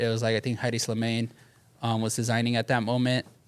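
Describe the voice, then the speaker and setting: In a very clean recording with a silent background, a man with an American accent speaks at a medium pitch and a fairly quick pace. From Southeast Los Angeles (Bell), California. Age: 30s. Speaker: sneaker store manager. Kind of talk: casual chat. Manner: fast.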